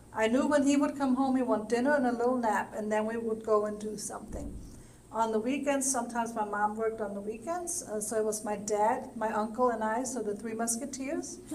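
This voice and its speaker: Amid audible room echo, a woman with a fairly high pitch talks at a fairly quick pace. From Germany, Nuremberg. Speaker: senior center board director. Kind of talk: interview. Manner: halting.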